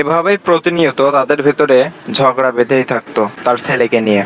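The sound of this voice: A man speaks at medium pitch. His pace is moderate and his intonation fairly even.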